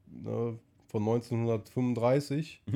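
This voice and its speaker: Fairly even intonation from a man with a dark, mellow tone and a medium pitch. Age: 20s. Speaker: car enthusiast. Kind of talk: casual chat.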